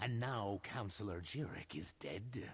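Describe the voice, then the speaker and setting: Against a quiet background, a man puts on a character voice, fairly low in pitch. He speaks at a fairly slow pace. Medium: video game.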